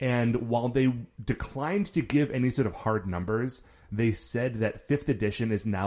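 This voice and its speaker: Speaking at a moderate pace in a normal speaking voice, this man has a medium pitch with ordinary pitch variation. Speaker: podcast host, guest. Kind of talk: casual chat.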